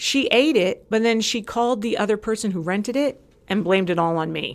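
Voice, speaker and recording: Her voice is fairly high in pitch, and this woman speaks in an animated tone with lively intonation. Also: fairly quick pace. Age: 40s. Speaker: former community social committee member. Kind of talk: casual chat. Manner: fast.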